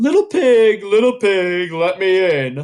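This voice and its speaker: A man is doing a put-on character voice pitched high. He delivers it at a fairly slow pace. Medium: read story. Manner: growling.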